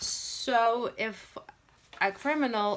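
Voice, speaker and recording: A woman with a non-native accent and ordinary pitch variation, on a very clean recording with a silent background. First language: not English. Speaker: credit repair business owner. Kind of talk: informational commentary video. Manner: halting, many fillers.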